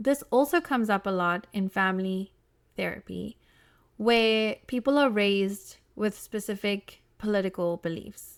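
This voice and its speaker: Pitch varies in an ordinary way at a fairly slow pace. The recording is very clean and dry, close with no echo, over a silent background. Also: woman, medium pitch for a woman. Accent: South African. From South Africa. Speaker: podcast host, family therapist. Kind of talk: solo podcast monologue. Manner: casual, animated.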